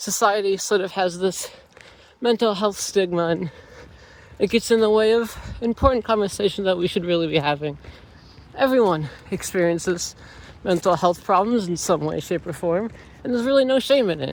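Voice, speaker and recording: Pitched high, a man speaks at a moderate pace with ordinary pitch variation and long, frequent pauses. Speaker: student vlogger. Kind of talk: vlog monologue. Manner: slurred speech; heavy breathing.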